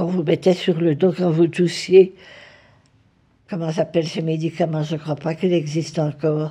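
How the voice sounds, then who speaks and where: Somewhat breathy, with a dark, mellow tone, a woman speaks at a fairly low pitch with fairly even intonation. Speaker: retired nurse. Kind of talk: interview answer.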